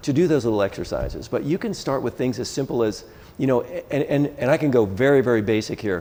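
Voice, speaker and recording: Dark and mellow in tone, a man's voice sits at medium pitch. He goes at a very fast pace with ordinary pitch variation. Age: 60s. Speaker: dentist and masters CrossFit athlete. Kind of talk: interview. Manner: halting, repeats words.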